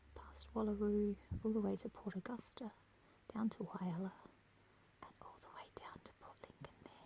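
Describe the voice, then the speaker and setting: Soft-spoken delivery at a moderate pace. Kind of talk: ASMR brochure reading. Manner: quiet, soft-spoken.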